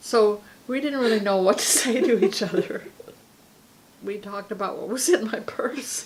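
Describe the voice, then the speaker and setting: A woman speaks in a Pacific Northwest accent with a relaxed tone at a moderate pace. Noticeable background noise is present. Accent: American, Pacific Northwest. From Seaside, Oregon. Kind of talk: interview answer. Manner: relaxed storytelling.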